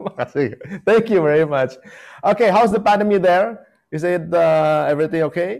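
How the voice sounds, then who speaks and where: A man with an Indonesian accent speaks at a high pitch. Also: ordinary pitch variation, moderate pace. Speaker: interviewer. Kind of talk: interview.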